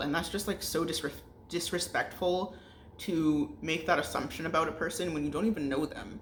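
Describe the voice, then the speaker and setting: A woman with a very deep, low pitch is heard over noticeable background noise. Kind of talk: casual talk to camera. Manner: frustrated, ranting.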